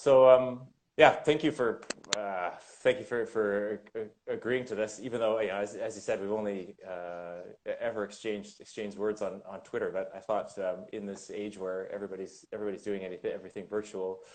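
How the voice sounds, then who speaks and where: A man with a Canadian accent and a fairly low voice talks at a fairly quick pace, with ordinary pitch variation and big swings in loudness. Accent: Canadian, taken for American. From Canada. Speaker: winemaker. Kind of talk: casual chat. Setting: Instagram live video stream. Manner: halting, many repetitions.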